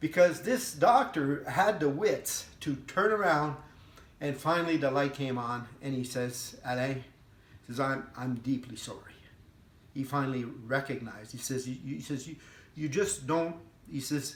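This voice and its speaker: Audible room echo surrounds a man whose fairly high, somewhat breathy voice moves at a moderate pace with ordinary pitch variation. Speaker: veteran with PTSD. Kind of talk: personal testimony. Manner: halting.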